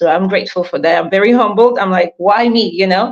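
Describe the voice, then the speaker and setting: A woman speaks with a Cameroonian accent. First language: not English (English is third language). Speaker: author and leadership coach. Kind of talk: interview. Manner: animated.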